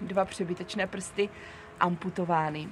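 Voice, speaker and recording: Music playing behind a woman's voice of medium pitch. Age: 40s. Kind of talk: personal monologue. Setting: seated on camera.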